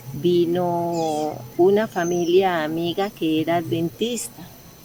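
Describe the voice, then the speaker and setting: A woman speaks with fairly low pitch and fairly even intonation. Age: 60s. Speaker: retired hairstylist giving church testimony. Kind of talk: testimony. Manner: hesitant, many fillers.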